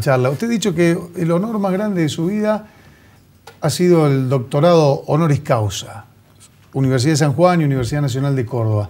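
The speech moves at a fairly quick pace. Its intonation is lively. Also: man. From Argentina. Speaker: TV host. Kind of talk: TV interview. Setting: TV studio. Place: studio.

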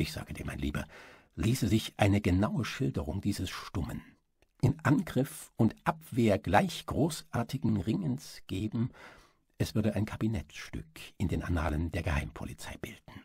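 This man talks at a moderate pace in an intense, theatrical tone, his fairly low pitch swinging very widely. Vocal fry runs through his voice. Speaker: audiobook narrator. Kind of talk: dramatic audiobook-style narration with character dialogue. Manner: intense, gripping, theatrical, measured pace with suspenseful emphasis; formal, literary German delivery.

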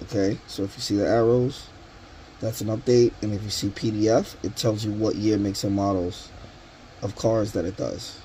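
A man speaks at a moderate pace in a fairly low pitch with fairly even intonation, a plain, everyday voice. Light background noise is present. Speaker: tool reviewer. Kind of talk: tutorial. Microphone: phone near.

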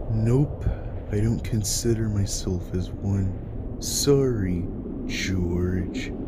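Someone uses a put-on character voice at a very slow pace while loud background noise plays. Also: man, fairly low pitch for a man. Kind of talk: comic dub. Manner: sarcastic, unimpressed.

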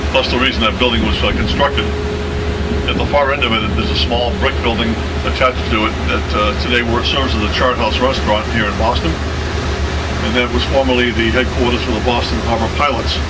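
A man at a very fast pace amid loud background noise. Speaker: boat tour guide. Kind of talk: tour commentary. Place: boat.

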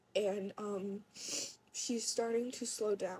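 A woman speaks quietly at a very slow pace, somewhat breathy and dark, mellow in tone. Her intonation is monotone and flat. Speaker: vlogger. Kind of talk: casual talk to camera. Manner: quiet, hard to hear. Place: home room. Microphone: phone near.

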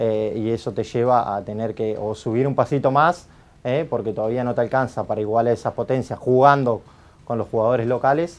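A man's medium-pitched voice, ordinary pitch variation, fairly quick delivery. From Argentina. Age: 30s. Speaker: futsal coach; national futsal team coach. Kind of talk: interview answers. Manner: halting, many fillers. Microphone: lapel.

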